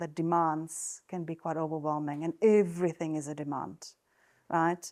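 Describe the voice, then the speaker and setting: With a Czech accent, a woman talks at a moderate pace in a fairly low pitch, and the recording is very clean with a silent background. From Czech Republic. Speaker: nurse and wellness coach. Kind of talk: talk to an audience. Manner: hesitant, many fillers.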